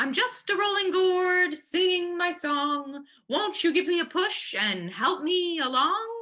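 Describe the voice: Using a put-on character voice, a woman speaks with extremely high pitch, ordinary pitch variation, very even loudness and a fairly slow pace.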